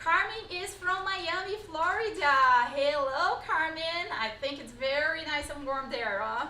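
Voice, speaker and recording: In a high, bright, sharp voice with a Brazilian accent, a woman speaks in a raised, projected way with lively intonation, and room echo is audible. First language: Portuguese. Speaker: pilates instructor. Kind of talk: live-streamed online workshop. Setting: live stream.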